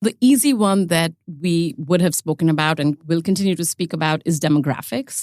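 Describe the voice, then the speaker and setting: A woman with an Indian accent, fairly low in pitch with ordinary pitch variation, on a very clean recording with a silent background, dry and close with no echo. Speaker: ETF expert, podcast regular. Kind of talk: quiz show chat.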